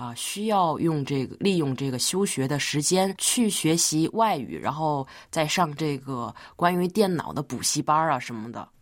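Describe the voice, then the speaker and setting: Very deep, low-pitched female speech with lively intonation at a moderate pace, on a very clean recording with a silent background. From Tianjin, China. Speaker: university student. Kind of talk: radio interview.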